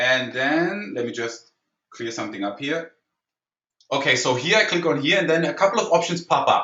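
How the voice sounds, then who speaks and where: His pitch is fairly high for a man, and his intonation is lively. He speaks with a German accent. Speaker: online marketing trainer. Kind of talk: webinar tutorial. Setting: online webinar. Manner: fast; animated.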